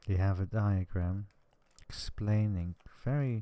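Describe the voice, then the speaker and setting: This man has a soft-spoken, gentle delivery with a dark, mellow tone. His fairly low pitch moves in fairly even intonation. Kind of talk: ASMR relaxation talk.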